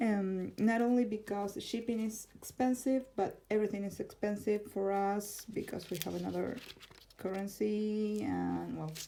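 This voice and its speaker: The voice has an Argentine accent and a dark, mellow tone. It moves at a moderate pace with fairly even intonation. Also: woman, medium pitch for a woman. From Argentina, Buenos Aires. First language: Spanish. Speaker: tarot content creator. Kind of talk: casual vlog, answering tag questions. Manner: halting, with fillers.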